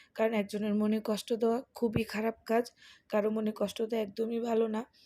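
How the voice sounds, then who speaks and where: A woman talks with a dark, mellow tone at a fairly high pitch. Her intonation stays flat and monotone. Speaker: vlogger. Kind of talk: casual vlog.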